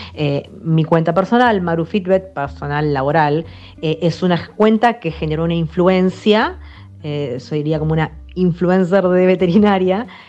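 A woman's fairly low voice with ordinary pitch variation, a fairly slow pace and noticeable background noise. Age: 30s. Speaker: veterinarian. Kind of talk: interview.

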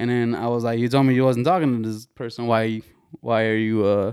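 Recorded very cleanly against a silent background, a man with an ordinary speaking voice and medium pitch talks at a fairly quick pace. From US, Mexican-American family. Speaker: podcast host. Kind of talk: casual chat. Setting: studio with camera.

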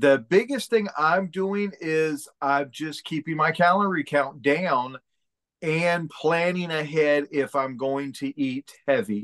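In a dry, close sound with no echo, a man with a fairly high pitch speaks at a very slow pace. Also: ordinary pitch variation. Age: 50s. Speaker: real estate agent and motivational speaker. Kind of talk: casual interview.

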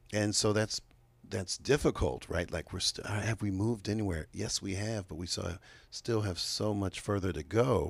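A plain, everyday voice with an American accent speaks at a moderate pace and ordinary pitch variation. The recording is very clean with a silent background. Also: man, fairly low pitch for a man. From Chicago, US Midwest. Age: 50s. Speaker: state legislator. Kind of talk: interview. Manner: many fillers (uh, um).

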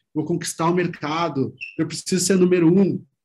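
This man has a southern Brazilian accent. His voice sits high in pitch. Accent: gaúcho (southern Brazilian). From Rio Grande do Sul, Brazil. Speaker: PR agency CEO, former journalist. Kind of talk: interview.

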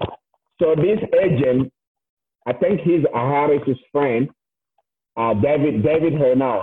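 Here a man speaks very slowly with long, frequent pauses. His pitch is fairly high with ordinary variation, and his loudness stays very even. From Togo. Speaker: soccer coach and former player. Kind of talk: casual interview chat. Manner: animated, laughs often.

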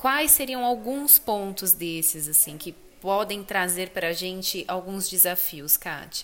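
With lively intonation, a woman talks at a fairly slow pace in a normal speaking voice. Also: medium pitch for a woman. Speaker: podcast host. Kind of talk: interview.

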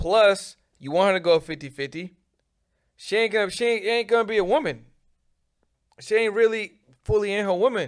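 A high-pitched man with an American accent speaks fairly quickly with ordinary pitch variation, broken by long, frequent pauses. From Boston, Mattapan neighborhood. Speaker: marketing agency owner. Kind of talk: casual interview chat.

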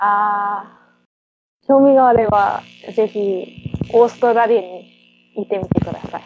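A woman of medium pitch at a fairly slow pace, with long, frequent pauses and music in the background. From Perth, Western Australia. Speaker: municipal translator and interpreter. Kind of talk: casual interview. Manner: halting.

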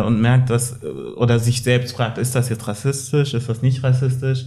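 A man talks at medium pitch with a monotone, flat delivery. The room echo is audible. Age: 20s. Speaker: anti-racism activist. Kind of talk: casual chat. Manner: hesitant with many fillers.

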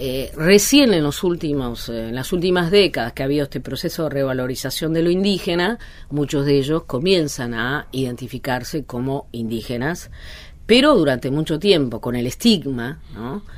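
Lively intonation marks this woman's very deep, low voice. Her pace is moderate. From Argentina, Alto Valle de Río Negro. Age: 50s. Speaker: sociologist and author. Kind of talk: interview. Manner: hesitant, many fillers.

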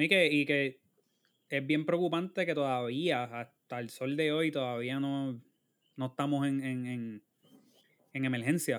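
With a Puerto Rican accent, a man talks at a fairly slow pace with long, frequent pauses, a fairly high pitch and fairly even intonation, in a very clean recording with a silent background. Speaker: podcast co-host. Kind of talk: casual chat.

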